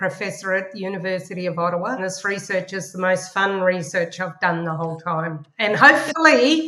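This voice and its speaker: A woman's medium-pitched voice with lively intonation, at a moderate pace with hardly any pauses, over noticeable background noise. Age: 60s. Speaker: professor. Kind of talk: interview.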